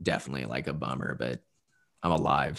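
Against a quiet background, a man talks with an American accent and vocal fry. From US Midwest, southern Indiana. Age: 20s. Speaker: copywriter and poet. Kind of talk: casual interview chat.

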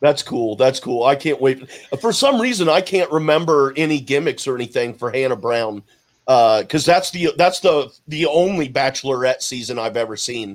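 A man talks with lively intonation. His voice sits fairly high. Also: moderate pace. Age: 40s. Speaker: podcast co-host. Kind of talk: casual chat.

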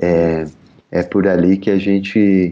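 Very deep and low in pitch, a man speaks in a dark, mellow tone with fairly even intonation. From São Paulo (Zona Leste), Brazil. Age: 40s. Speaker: psychoanalyst. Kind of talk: interview.

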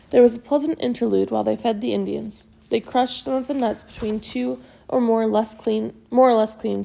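What is heard here is plain reading aloud.

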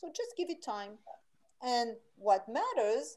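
With a French accent, a woman speaks very slowly at a fairly high pitch, her voice making very wide pitch swings. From France. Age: 60s. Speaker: vitality coach and author. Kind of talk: interview. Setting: video call.

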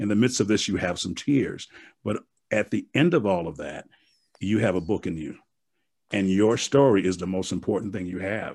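On a very clean recording with a silent background, a man with an American accent and a fairly low pitch talks at a moderate pace with ordinary pitch variation and long, frequent pauses. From US Midwest (Milwaukee). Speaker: motivational speaker and author. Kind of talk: interview.

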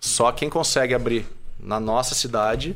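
Here a man with an unremarkable speaking voice talks at medium pitch with ordinary pitch variation. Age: 30s. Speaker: franchise owner and entrepreneur. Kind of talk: casual interview.

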